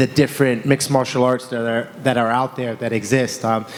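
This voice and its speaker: Noticeable background noise runs through the clip. The voice carries an American accent. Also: man. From United States. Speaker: MMA fighter. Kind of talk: press conference answer. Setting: press conference.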